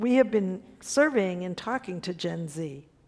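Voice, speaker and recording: Here a woman with an American accent has an unremarkable speaking voice and lively intonation. She speaks at a fairly slow pace. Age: 60s. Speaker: foundation CEO. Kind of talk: panel discussion.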